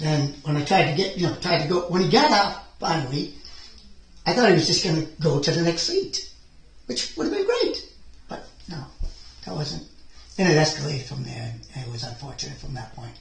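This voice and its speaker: Amid noticeable background noise and audible room echo, a man talks at a fairly quick pace broken by long, frequent pauses. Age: 60s. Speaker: school bus driver. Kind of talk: police interview. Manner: halting.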